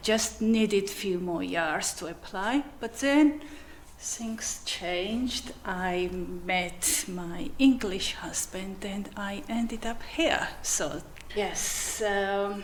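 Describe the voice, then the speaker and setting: A woman with a Georgian accent at medium pitch and a very slow pace, with ordinary pitch variation, audible room echo and noticeable background noise. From Georgia (country). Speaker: commercial manager and magistrate. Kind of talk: interview.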